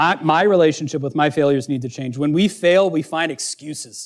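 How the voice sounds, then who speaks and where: A man with a plain, everyday voice at a fairly high pitch, on a very clean recording with a silent background. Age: 30s. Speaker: pastor. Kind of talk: sermon.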